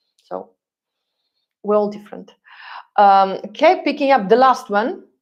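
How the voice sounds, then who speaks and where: Speaking with a Russian accent, a woman uses lively intonation while her loudness swings widely. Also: fairly high pitch for a woman, fairly slow pace. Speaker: relocation consultant and YouTuber. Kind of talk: live stream Q&A. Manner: hesitant, many fillers. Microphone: new microphone.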